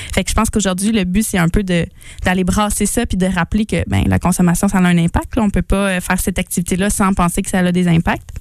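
A woman talks at a very fast pace in a monotone, flat voice with very even loudness. The sound is dry and close, with no echo. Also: medium pitch for a woman. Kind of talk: casual chat.

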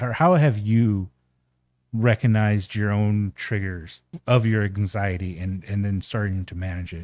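A man's plain, everyday voice, fairly low in pitch, with fairly even intonation and a fairly slow pace, on a very clean recording with a silent background. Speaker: guest brother of host. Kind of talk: casual chat.

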